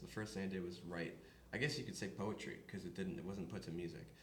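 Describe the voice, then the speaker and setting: Noticeable background noise and audible room echo fill the recording of a man speaking. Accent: American. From upstate New York. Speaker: country singer. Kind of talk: interview.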